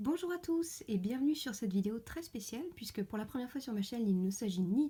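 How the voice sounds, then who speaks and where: Talking at a fairly quick pace, a woman's fairly high voice makes very wide pitch swings. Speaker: polymer clay sculptor. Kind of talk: casual talk to camera, unboxing.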